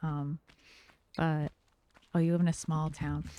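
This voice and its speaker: In a dry, close sound with no echo, a woman with an American accent speaks at a fairly low pitch in a dark, mellow tone. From American, West Coast. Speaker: streamer chatting with viewers. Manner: fast talker.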